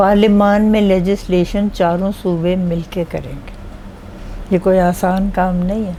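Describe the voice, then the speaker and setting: Monotone, flat intonation from a woman, amid noticeable background noise. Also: medium pitch for a woman. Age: 80s+. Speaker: retired judge. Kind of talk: interview.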